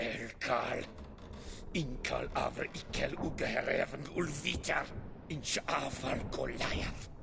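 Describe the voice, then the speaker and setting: A put-on character voice moves at a fairly slow pace over loud background noise. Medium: video game. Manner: curt, commanding.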